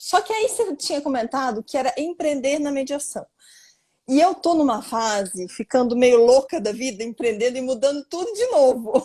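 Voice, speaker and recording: At a moderate pace, a woman talks with a high pitch and a dark, mellow tone. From Brazil, various cities. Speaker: lawyer and mediator. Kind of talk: live-stream interview. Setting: online live stream. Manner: animated.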